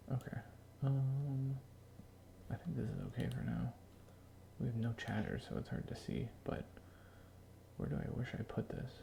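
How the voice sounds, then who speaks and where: Someone whispers quietly with long, frequent pauses over noticeable background noise. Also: moderate pace. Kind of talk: casual chat. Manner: quiet, whispering.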